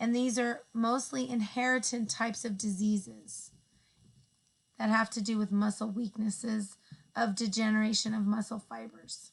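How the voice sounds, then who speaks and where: At a moderate pace, a woman with a fairly high pitch sounds somewhat breathy and keeps a fairly even intonation. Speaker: education student. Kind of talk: class presentation narration.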